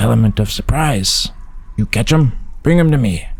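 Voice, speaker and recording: A man puts on a character voice at a medium pitch. He talks at a moderate pace over light background noise. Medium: read story. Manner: terse, clipped phrases.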